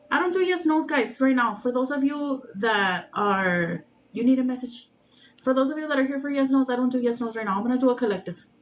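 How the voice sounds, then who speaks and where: With a strong Mexican accent, a woman speaks at a high pitch and a fairly quick pace, her intonation lively. Background noise is noticeable. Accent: heavy Mexican accent when speaking normally. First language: Spanish. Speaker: tarot reader livestreamer. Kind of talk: casual livestream chat with viewers. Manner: playful, uses funny put-on voices.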